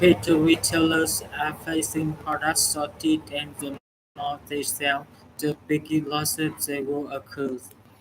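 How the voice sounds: A man talks at a fairly high pitch. His intonation is monotone and flat. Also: fairly slow pace.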